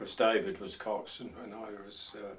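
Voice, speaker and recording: A man with a Norfolk accent talks at a fairly slow pace, his medium-pitched voice keeping a fairly even intonation. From Norfolk, England (Walsingham). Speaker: lifeboat crewman and fisherman. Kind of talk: oral history interview.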